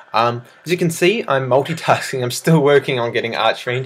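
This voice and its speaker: A man speaks at a medium pitch and a fairly quick pace. Noticeable background noise runs underneath. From South Africa. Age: 20s. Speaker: gaming video creator and student. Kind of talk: casual Q&A vlog. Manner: casual with many fillers.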